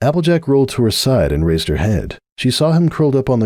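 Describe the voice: A quiet background behind plain reading aloud.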